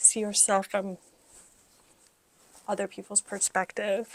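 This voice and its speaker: A soft-spoken woman at a medium pitch, with a dry, close sound and no echo. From Middle East. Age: 40s. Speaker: lifestyle vlogger. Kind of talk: casual vlog talk to camera.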